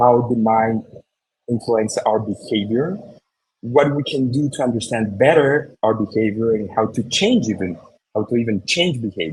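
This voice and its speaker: This man's voice has a somewhat breathy quality. It sits at a medium pitch. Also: ordinary pitch variation, moderate pace. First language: Spanish. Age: 40s. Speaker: marketer and speaker. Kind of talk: presentation. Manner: halting with fillers and repetitions.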